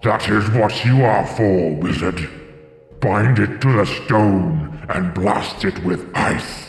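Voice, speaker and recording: In a put-on character voice, a man booms at a fairly low pitch and a very slow pace. A clear echo follows his words. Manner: commanding, imperious.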